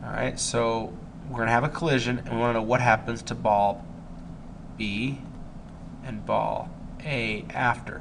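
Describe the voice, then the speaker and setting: A man's medium-pitched voice with vocal fry and fairly even intonation, at a moderate pace with long, frequent pauses, in audible room echo. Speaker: high school physics teacher. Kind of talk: recorded lesson, test review.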